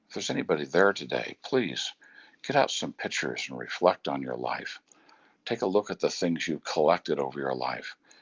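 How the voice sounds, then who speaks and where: This man's voice is very deep and low, with vocal fry, very wide pitch swings, and big swings in loudness. He speaks at a fairly quick pace. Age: 60s. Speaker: motivational speaker and business coach. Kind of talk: motivational talk. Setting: outdoors on a bridge at home, live video. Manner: reflective.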